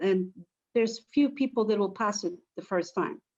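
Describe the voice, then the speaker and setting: A woman speaks with a Polish accent. Her pace is moderate and her pitch variation is ordinary. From Poland. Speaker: teacher. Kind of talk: interview.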